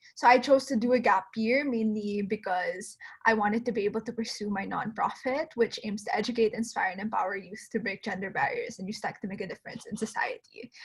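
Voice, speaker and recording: Over noticeable background noise, a woman talks at a fairly quick pace with hardly any pauses and big swings in loudness. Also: fairly high pitch for a woman, fairly even intonation. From Philippines, Manila. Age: 20s. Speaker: incoming college student giving admissions advice. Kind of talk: webinar talk. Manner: casual, uses filler 'like'.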